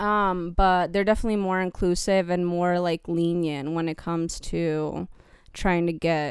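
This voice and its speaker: In a normal speaking voice, a woman with a fairly low pitch speaks at a fairly slow pace on a very clean recording with a silent background. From California, of Mexican descent. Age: young. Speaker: model. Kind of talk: casual chat.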